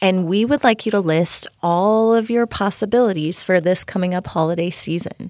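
A woman with a plain, everyday voice talks at medium pitch and a moderate pace, with ordinary pitch variation, hardly any pauses, and a dry, close sound with no echo. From Minnesota. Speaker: podcast co-host, mother and caregiver. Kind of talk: casual chat.

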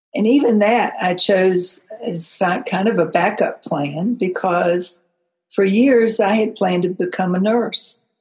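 A woman with an American accent has an ordinary speaking voice at a medium pitch and a fairly slow pace. Her loudness stays very even, with ordinary pitch variation. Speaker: career coach, former school librarian. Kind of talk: podcast monologue.

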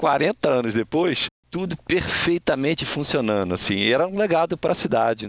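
Vocal fry marks this man's fairly high-pitched voice, which swings very widely in pitch. He keeps a moderate pace, and the sound is dry and close with no echo. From Rio de Janeiro, Brazil. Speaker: retired bank employee and psychologist. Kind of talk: interview storytelling.

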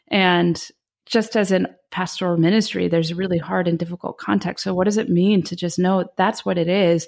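An unremarkable speaking voice from a woman with an American accent, fairly low in pitch, fairly quick and fairly even in intonation. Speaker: senior pastor and author. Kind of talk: interview conversation.

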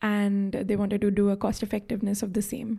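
Somewhat breathy and dark, mellow in tone, a woman speaks with monotone, flat intonation. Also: very clean recording, silent background. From India. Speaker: health economics graduate student. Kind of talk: interview. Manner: hesitant with fillers.

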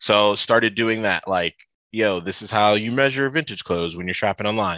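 With a Midwestern American accent, a man speaks at a fairly low pitch in a bright, sharp tone, his pitch varying in an ordinary way. The sound is dry and close with no echo, against a quiet background. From US Midwest, Toledo, Ohio. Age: 30s. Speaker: fashion content creator. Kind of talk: casual interview. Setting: video call.

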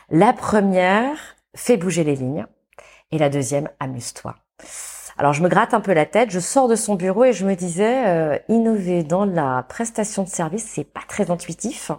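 A woman with a medium-pitched voice speaks at a moderate pace with lively intonation, on a very clean recording against a silent background. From France, Saint-Étienne. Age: 40s. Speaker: entrepreneur and consultant. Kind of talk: interview. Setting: studio. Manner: halting.

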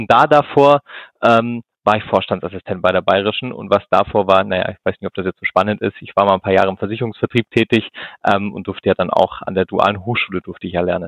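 Fairly low in pitch, a man talks very fast with ordinary pitch variation. His loudness swings widely. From Swabia, southern Germany (Ulm). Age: 30s. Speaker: insurance executive. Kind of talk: interview. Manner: hesitant, many fillers.

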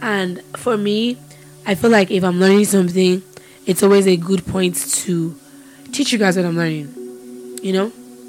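Over music in the background, a woman at a medium pitch uses lively intonation, broken by long, frequent pauses. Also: moderate pace. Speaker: podcast host. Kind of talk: fervent, heartfelt prayer to God, spoken aloud. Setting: podcast. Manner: earnest, impassioned, pleading and devout; teaching, conversational, animated.

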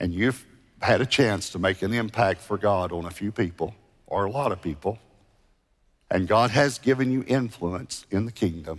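Moderate speed and ordinary pitch movement in a man's fairly low voice. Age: 60s. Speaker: megachurch pastor. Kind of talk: sermon; altar-call invitation to repent, pastoral and intimate. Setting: church stage with congregation, multiple campuses online. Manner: conversational and gently earnest; halting with frequent restarts and repeated words.

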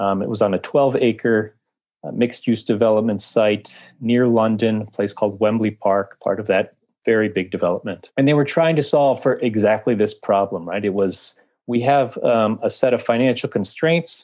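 A man talks in a normal speaking voice at a medium pitch and moderate pace, with ordinary pitch variation and very even loudness against a quiet background. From US, Washington D.C. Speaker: editorial director and writer on cities. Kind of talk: interview.

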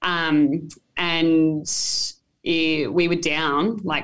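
In an Australian accent, a woman speaks with a very deep, low pitch. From mid north coast of New South Wales, Australia. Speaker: touch football player. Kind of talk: casual interview. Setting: hotel room.

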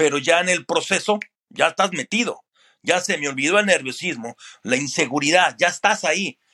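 On a very clean recording with a silent background, a man speaks at a moderate pace in a high pitch, his bright, sharp tone sounding dry and close with no echo and his pitch varying in an ordinary way. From Mexico City area. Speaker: sports broadcaster. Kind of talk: interview.

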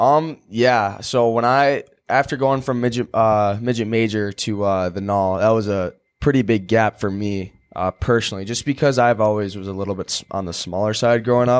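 An ordinary speaking voice with an American accent moves at a moderate pace with hardly any pauses and ordinary pitch variation, in a very clean recording with a silent background. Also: man, fairly low pitch for a man. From Chicago, US. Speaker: college hockey player. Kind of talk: casual interview.

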